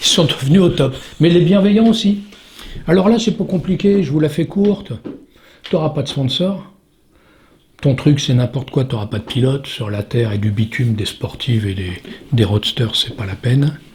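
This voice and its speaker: Speaking at a moderate pace, a man with a fairly high, somewhat breathy voice makes very wide pitch swings and leaves long, frequent pauses. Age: 60s. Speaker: stuntman. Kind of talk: interview. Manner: halting.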